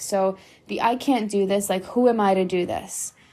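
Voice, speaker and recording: This woman has a normal speaking voice with an American accent and a medium pitch. She talks at a fairly slow pace with ordinary pitch variation. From New York. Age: 30s. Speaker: podcast host and spiritual mentor. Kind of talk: angry rant, passionate motivational monologue. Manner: frequently laughs, casual chatty.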